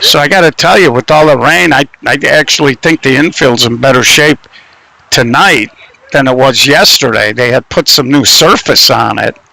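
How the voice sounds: A man with a medium pitch, a bright, sharp tone and vocal fry speaks at a moderate pace. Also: ordinary pitch variation.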